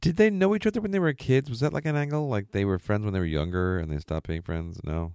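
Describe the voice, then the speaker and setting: A man with a fairly low voice speaks at a very fast pace with hardly any pauses, his pitch swinging very widely. The recording is very clean with a silent background. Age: 40s. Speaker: podcast host. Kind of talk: casual chat.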